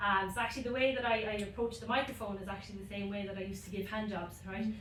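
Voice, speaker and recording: A woman with a Limerick accent and a medium pitch speaks at a very fast pace in a monotone, flat way, with audible room echo and noticeable background noise. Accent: Irish (Limerick). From Ireland, Limerick. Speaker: stand-up comedian. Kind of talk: stand-up. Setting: stage with audience. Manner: hesitant, many ums.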